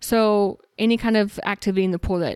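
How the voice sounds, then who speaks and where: In a normal speaking voice, a woman with an American accent speaks at a moderate pace with ordinary pitch variation, dry and close with no echo, on a very clean recording with a silent background. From Texas. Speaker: naturopathic doctor. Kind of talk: casual interview.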